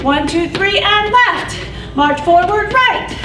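A woman speaks in a raised, projected voice. Noticeable background noise can be heard. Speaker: fitness instructor. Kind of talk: exercise class cueing. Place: gym.

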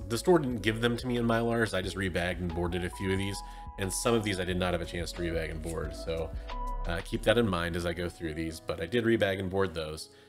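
Over clear music in the background, a man talks at a very fast pace in a very deep, low pitch with ordinary pitch variation. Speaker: comic collector vlogger. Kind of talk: casual vlog chat. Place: home room.

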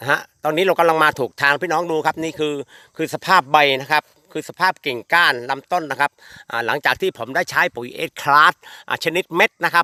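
The voice carries a bright, sharp tone with ordinary pitch variation. Its sound is dry and close, with no echo. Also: man. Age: 50s. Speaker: durian farmer promoting fertilizer. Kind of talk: product testimonial video. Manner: repetitive, informal.

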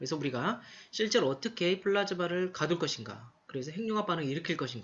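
This man speaks very fast, his intonation lively. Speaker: university lecturer. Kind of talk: lecture.

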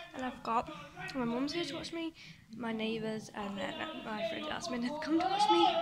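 A woman at a fairly quick pace, with noticeable background noise. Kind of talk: casual vlog chat. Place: home room. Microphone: phone near.

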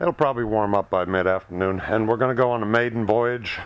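A man talks over light background noise. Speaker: motorcycle rider vlogger. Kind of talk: casual vlog chat. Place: garage. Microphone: phone near.

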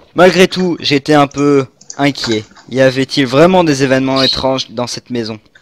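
Plain reading aloud, the pitch moving in an ordinary way

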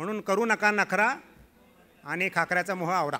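A man uses a raised, projected voice. His pitch is high and his tone bright and sharp. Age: 50s. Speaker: health awareness speaker; speaker. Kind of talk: health talk. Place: hall. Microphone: podium.

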